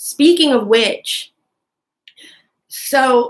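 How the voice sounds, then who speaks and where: A woman mumbling at a very slow pace. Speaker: youtuber. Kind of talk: casual rant. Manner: mumbling, like marbles in mouth; halting, many fillers.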